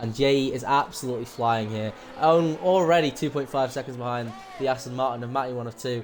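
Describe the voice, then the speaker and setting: At a fairly quick pace, a man of medium pitch speaks with fairly even intonation amid noticeable background noise. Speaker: esports race commentator. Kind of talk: live commentary.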